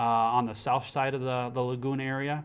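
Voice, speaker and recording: A man speaks at a fairly quick pace with a medium pitch. His intonation is monotone and flat. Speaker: city engineering official. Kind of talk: interview. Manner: halting.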